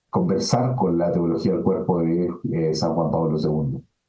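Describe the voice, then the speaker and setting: A man with a Chilean accent speaks at a fairly slow pace, his pitch varying in an ordinary way. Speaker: philosophy professor. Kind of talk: webinar lecture answering questions. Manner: filler-heavy, hesitant (eh, ¿no es cierto?).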